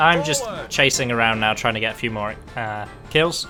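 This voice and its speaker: Over music in the background, a man with medium pitch and ordinary pitch variation speaks in an enthusiastic tone. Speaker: gaming video commentator. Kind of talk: game walkthrough commentary. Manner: casual, enthusiastic.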